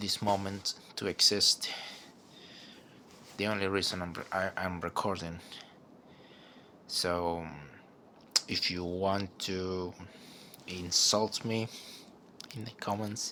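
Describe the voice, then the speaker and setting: A man speaks with a very deep, low pitch and a bright, sharp tone. His delivery is monotone and flat, very slow, with long, frequent pauses. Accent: non-native. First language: not English. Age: 20s. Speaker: vlogger. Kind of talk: personal monologue. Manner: halting; stutter.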